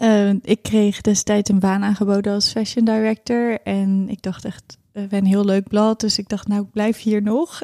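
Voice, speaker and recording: At a moderate pace, a woman speaks with a fairly high pitch and a dark, mellow tone, in a dry, close sound with no echo. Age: 30s. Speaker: fashion designer and stylist. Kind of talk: personal birth story interview.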